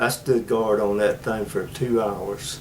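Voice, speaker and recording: Music plays in the background. A man at medium pitch speaks at a very slow pace. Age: 80s+. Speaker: war veteran. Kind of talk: oral history interview. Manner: halting.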